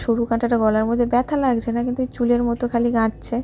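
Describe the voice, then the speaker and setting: A fairly high-pitched woman's voice, dark and mellow in tone. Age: 20s. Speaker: family vlogger. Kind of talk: cooking tutorial and vlog. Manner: casual, chatty.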